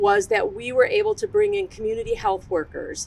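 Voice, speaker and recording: A woman talks loudly at a moderate pace. Her pitch swings very widely. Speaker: behavioral health program manager. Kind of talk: ceremony speech.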